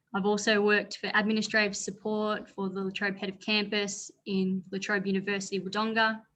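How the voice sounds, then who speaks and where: Her tone bright and sharp, a woman speaks at a fairly quick pace with monotone, flat intonation. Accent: Australian. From northeast Victoria, Australia (rural). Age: 20s. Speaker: former political candidate and parliamentary adviser. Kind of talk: panel talk.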